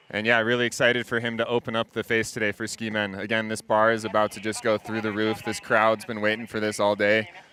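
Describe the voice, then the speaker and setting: On a very clean recording with a silent background, a man with an American accent talks at a fairly quick pace, his tone bright and sharp and the sound dry and close with no echo. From USA. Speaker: freeride ski commentator. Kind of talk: live commentary. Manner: animated.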